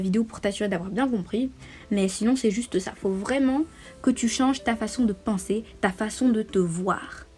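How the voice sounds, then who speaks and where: A fairly high-pitched woman's voice with ordinary pitch variation. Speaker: vlogger. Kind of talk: advice monologue. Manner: fast; hesitant fillers.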